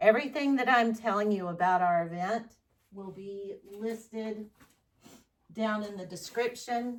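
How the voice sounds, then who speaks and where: Speaking in a Southern US accent, a woman keeps a fairly slow pace and a fairly high pitch with ordinary variation. Her loudness rises and falls in big swings. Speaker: fluid art painter, channel host. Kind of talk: tutorial with announcements. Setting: home art studio, far from camera. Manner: loud, raised voice; casual, chatty. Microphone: microphone not plugged in, on camera mic far away.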